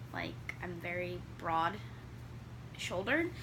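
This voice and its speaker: At a fairly slow pace, a woman speaks amid noticeable background noise and audible room echo. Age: 20s. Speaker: knitting podcaster. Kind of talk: casual chat. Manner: halting.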